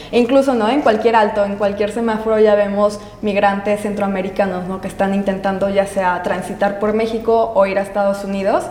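A woman with a medium pitch talks at a fairly quick pace with fairly even intonation and hardly any pauses. Room echo is audible, along with noticeable background noise. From Aguascalientes, central Mexico. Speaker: travel photographer. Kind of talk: interview.

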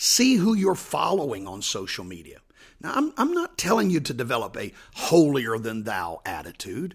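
At a moderate pace, a man with a fairly high pitch and vocal fry speaks with very wide pitch swings and big swings in loudness. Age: 60s. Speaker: pastor. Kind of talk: devotional podcast answering a Bible question.

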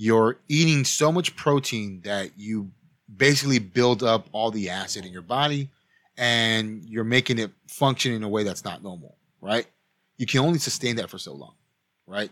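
At a moderate pace and with ordinary pitch variation, this is a plain, everyday voice. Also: man, medium pitch for a man. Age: 30s. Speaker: podcast co-host. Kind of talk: casual chat.

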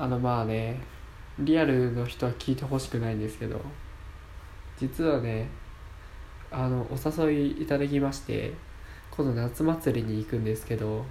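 In a room with audible echo, a man with a dark, mellow, somewhat breathy tone speaks at a moderate pace and medium pitch, his intonation fairly even and his pauses long and frequent. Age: 20s. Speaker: amateur radio app podcaster, university student. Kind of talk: solo casual talk. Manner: casual, chatty.

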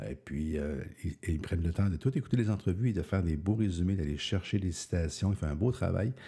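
A man with a very deep, low voice speaks at a fairly quick pace, somewhat breathy, with a dark, mellow tone and ordinary pitch variation. The recording is very clean, with a silent background. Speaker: podcaster and author. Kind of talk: solo podcast monologue. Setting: early morning recording. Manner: casual, hesitant with fillers.

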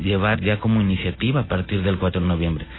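A man's fairly low voice at a fairly quick pace, with fairly even intonation and noticeable background noise. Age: 40s. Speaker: political candidate. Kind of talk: radio interview. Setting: radio studio.

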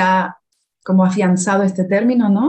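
A woman speaks in a dark, mellow tone that is somewhat breathy, with fairly even intonation. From Canary Islands, Las Palmas de Gran Canaria. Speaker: Spanish teacher. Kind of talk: casual interview conversation.

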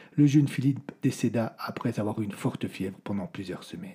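The speaker talks at a moderate pace in a dark, mellow tone that is somewhat breathy. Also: man. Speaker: storyteller narrator of audio fiction. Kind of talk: scripted dramatic narration of a medieval horror tale. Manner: changes tone to voice the characters: the old troubadour's prophecy, then the lord's rage.

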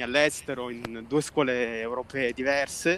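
At a fairly slow pace, a man speaks with monotone, flat intonation at a medium pitch. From southern Italy, Basilicata. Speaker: filmmaker and photographer. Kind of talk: interview. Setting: outdoors, walking in a park.

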